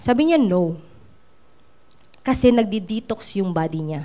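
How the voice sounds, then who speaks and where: A woman speaks at a fairly slow pace. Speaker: network marketing trainer. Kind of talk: training talk. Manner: animated.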